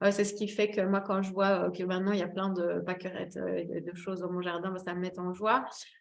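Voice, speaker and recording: Audible room echo surrounds a woman speaking at a fairly quick pace with hardly any pauses, at a medium pitch and with a monotone, flat intonation. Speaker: wellbeing therapist giving a talk. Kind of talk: webinar presentation. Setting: online webinar. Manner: hesitant, many fillers.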